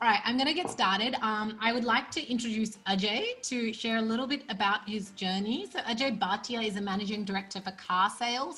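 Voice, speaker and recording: With an Australian accent, a woman speaks at a fairly quick pace. Her fairly high voice has a bright, sharp tone. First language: Punjabi. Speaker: event host and organizer. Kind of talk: online event introduction.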